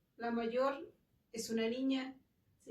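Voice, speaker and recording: In a room with audible echo, a woman with a high pitch speaks at a fairly slow pace. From Mexico, Michoacán (rural). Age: 60s. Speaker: interviewee, mother. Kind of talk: interview.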